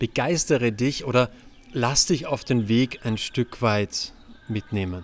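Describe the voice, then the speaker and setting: Speaking at a medium pitch, the man keeps a very slow pace and ordinary pitch variation. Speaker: relationship podcast host. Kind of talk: solo podcast monologue. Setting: outdoors on a terrace, recording on laptop. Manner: animated. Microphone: laptop and external microphone.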